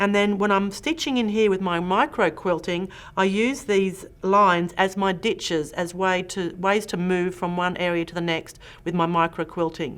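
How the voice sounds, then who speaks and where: A woman speaks with a strong Australian accent at a medium pitch. She keeps a moderate pace and ordinary pitch variation. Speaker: quilting instructor. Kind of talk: tutorial. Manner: animated.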